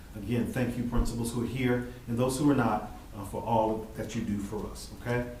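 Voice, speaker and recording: Fairly quick speech from a man amid audible room echo and noticeable background noise. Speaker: school district administrator. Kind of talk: board meeting report.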